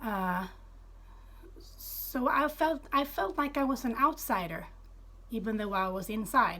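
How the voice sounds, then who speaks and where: Using a raised, projected voice, a woman speaks at a high pitch with very wide pitch swings and long, frequent pauses. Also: fairly slow pace. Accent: Swedish. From Sweden. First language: Swedish. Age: 30s. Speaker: former Jehovah's Witness telling her story. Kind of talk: personal testimony. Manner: halting, many fillers.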